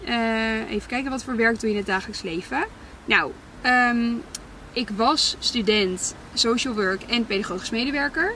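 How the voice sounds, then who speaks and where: A woman's fairly high voice at a fairly slow pace, with ordinary pitch variation, a dry sound with no echo and light background noise. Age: 20s. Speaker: content creator. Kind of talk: casual Q&A vlog. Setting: in a car. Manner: hesitant, many fillers. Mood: reflective, candid. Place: car. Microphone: camera far.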